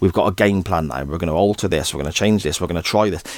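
Here is a man with a very deep, low pitch and an English accent. His pitch varies in an ordinary way. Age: 40s. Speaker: podcast host. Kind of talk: solo football commentary podcast.

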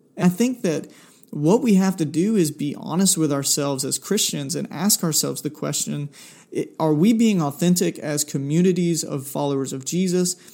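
In a Southern US accent, the speaker has a dark, mellow tone with ordinary pitch variation at a moderate pace, in a very clean recording with a silent background. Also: man, fairly high pitch for a man. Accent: Southern US (Georgia). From US South, South Georgia. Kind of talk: solo faith podcast monologue. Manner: casual, with many filler words.

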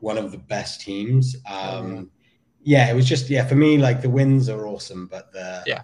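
Dark and mellow, a man's medium-pitched voice is somewhat breathy, moving at a moderate pace with ordinary pitch variation. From Somerset, England. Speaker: graphic designer. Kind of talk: casual interview chat. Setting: video call. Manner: halting, filler words.

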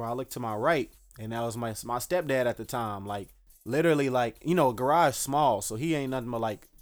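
Over music in the background, a man with an American accent speaks at a fairly quick pace and medium pitch. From Dallas, Texas. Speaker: local political candidate. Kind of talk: casual interview.

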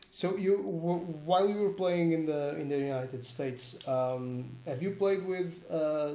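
A man speaks with a Portuguese accent in a dark, mellow tone, his pitch fairly high and its variation ordinary, at a fairly slow pace, with audible room echo. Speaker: sports channel host. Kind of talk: live-streamed interview. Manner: halting.

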